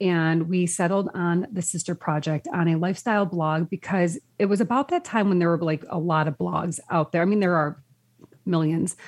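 In an ordinary speaking voice, a woman talks at a fairly low pitch and moderate pace, with ordinary pitch variation, very even loudness, and a dry, close sound with no echo. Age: 40s. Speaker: lifestyle blogger. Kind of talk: casual chat.

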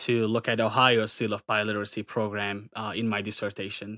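At a moderate pace, a man of medium pitch talks with a North Caucasus accent, his voice dry and close with no echo. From Turkey. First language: Circassian. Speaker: graduate student and English teacher. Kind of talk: casual interview chat. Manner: hesitant, filler-heavy.

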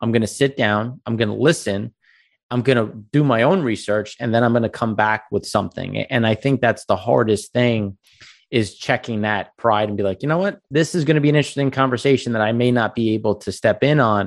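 With an American accent and a normal speaking voice, a man speaks at a fairly quick pace and medium pitch, with ordinary pitch variation and a quiet background. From US Northeast, Long Island. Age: 30s. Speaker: energy investor and company founder. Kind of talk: casual interview chat. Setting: video call.

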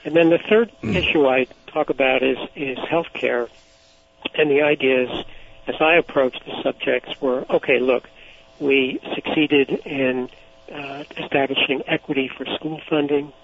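Over noticeable background noise, a man speaks at a fairly slow pace with a fairly high pitch and fairly even intonation. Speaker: author and former civil liberties advocate. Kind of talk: interview. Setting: phone call.

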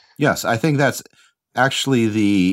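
On a very clean recording with a silent background, a man with an American accent speaks fairly slowly in a normal speaking voice, fairly low in pitch with ordinary pitch variation. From United States. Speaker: teacher at an international school, podcast co-host. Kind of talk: casual discussion.

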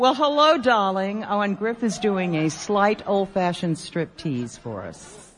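A woman of medium pitch speaks at a fairly slow pace with hardly any pauses. Her pitch swings very widely and her loudness rises and falls sharply. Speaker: radio host. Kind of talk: live radio show banter with audience. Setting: stage with live audience at convention. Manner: animated, jokey.

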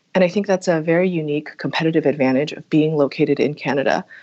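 Talking at a very fast pace, a woman with a very deep, low pitch speaks in an American accent. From United States. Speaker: tech executive. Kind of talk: interview.

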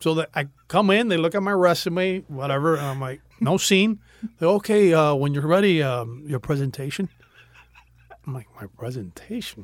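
An ordinary speaking voice from a man, fairly high in pitch, at a moderate pace with lively intonation. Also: big swings in loudness. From Miami, Florida (Cuban-American family). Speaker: actor. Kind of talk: casual interview chat. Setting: studio.

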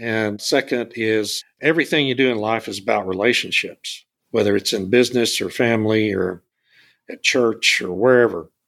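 A man with an American accent has an ordinary speaking voice at medium pitch. He moves at a moderate pace with ordinary pitch variation. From South Texas (Beeville). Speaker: energy consultant and podcast host. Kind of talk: interview. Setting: podcast interview.

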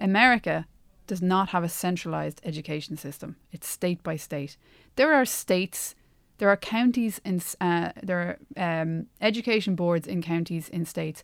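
Someone with an Irish accent talks at a moderate pace on a very clean recording with a silent background. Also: woman, fairly low pitch for a woman, ordinary pitch variation. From Ireland. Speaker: podcast co-host, Irish emigrant returned from US. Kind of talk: casual conversational discussion.

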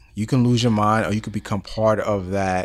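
A man with an American accent speaks at a fairly low pitch with ordinary pitch variation. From New York City, the Bronx. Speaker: podcast host. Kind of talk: interview. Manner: energetic.

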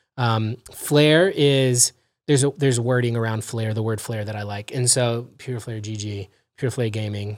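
Heard in a very clean recording with a silent background, a man with an American accent uses a normal speaking voice at medium pitch, a moderate pace, and fairly even intonation. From California, Los Angeles. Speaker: real estate investor. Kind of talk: casual interview.

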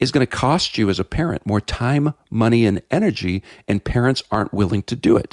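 This man has an ordinary speaking voice at a medium pitch, with lively intonation and a fairly quick pace. The background is quiet. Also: dry, close sound with no echo. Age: 50s. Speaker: pastor, author and filmmaker. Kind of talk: radio interview.

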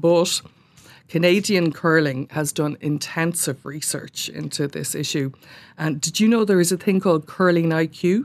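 A woman with an Irish accent talks at a moderate pace, fairly low in pitch. Her pitch varies in an ordinary way against a quiet background. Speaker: sports journalist. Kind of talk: casual chat. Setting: studio.

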